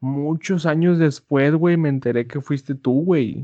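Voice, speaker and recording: Fairly slow, fairly even-toned delivery in an ordinary speaking voice. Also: man. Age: 20s. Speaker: podcast co-host. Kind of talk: casual chat.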